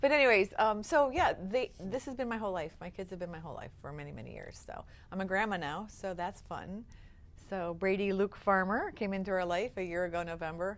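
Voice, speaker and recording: A woman with an American accent, medium pitch, ordinary pitch variation, a fairly quick pace and big swings in loudness. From Upstate New York. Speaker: nonprofit founder. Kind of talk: interview. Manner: fast; energetic.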